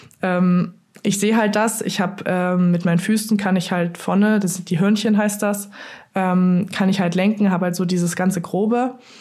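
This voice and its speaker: This woman's voice is dark, mellow and somewhat breathy at a medium pitch. She talks in a monotone with flat intonation. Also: moderate pace. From Saxony, Dresden. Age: 20s. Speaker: luge athlete. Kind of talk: interview.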